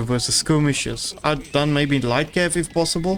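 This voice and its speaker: A man talks at a moderate speed, his pitch varying in an ordinary way. Noticeable background noise runs underneath. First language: not English. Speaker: game caster. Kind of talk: live commentary. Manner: halting.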